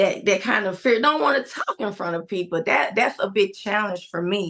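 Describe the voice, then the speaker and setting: A woman is talking at a medium pitch. Her pitch varies in an ordinary way. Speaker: teacher and church first lady sharing testimony. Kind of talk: testimony. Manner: quiet, shy speaker.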